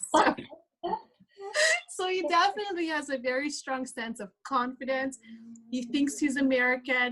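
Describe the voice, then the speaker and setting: A woman with a Hungarian accent speaks in a high, bright, sharp voice with lively intonation. Her pace is fairly slow, broken by long, frequent pauses. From Hungary. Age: 30s. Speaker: speaker. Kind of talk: testimony.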